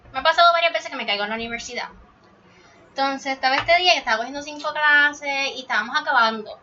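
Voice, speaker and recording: A woman talks over noticeable background noise. Her pitch varies in an ordinary way. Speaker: podcast co-host. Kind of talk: casual chat.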